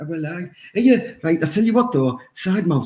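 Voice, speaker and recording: In a Teesside accent, a man talks at a fairly quick pace with a high pitch and lively intonation on a very clean recording with a silent background. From northern England, Teesside. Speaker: podcast co-host. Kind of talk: casual chat.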